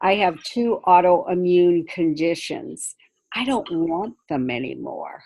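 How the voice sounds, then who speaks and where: Speaking at a very slow pace, a woman with an American accent has a fairly low pitch. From Maine, US Northeast. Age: 60s. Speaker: performer and mentor. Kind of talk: casual group video chat. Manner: halting, many fillers.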